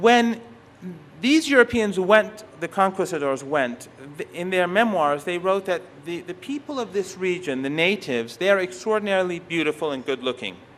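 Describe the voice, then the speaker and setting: A high-pitched man with a Persian accent at a moderate pace, amid noticeable background noise. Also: lively intonation. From Iran. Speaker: professor. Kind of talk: lecture. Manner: halting.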